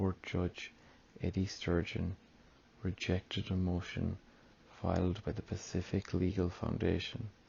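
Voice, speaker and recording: Soft-spoken and somewhat breathy, a man speaks with an Irish accent and a very deep, low pitch. His pace is fairly slow and his intonation monotone and flat. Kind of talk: ASMR news reading.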